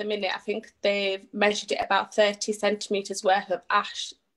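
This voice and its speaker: Here a woman talks with a British accent. She keeps a moderate pace. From northern England. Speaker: charity appeal organiser. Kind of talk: interview. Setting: Facebook live video.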